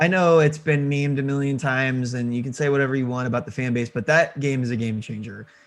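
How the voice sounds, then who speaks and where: A man with an American accent talks at a very fast pace and a medium pitch, with hardly any pauses and fairly even intonation. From Missouri, St. Louis. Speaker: indie game developer. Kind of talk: casual interview chat.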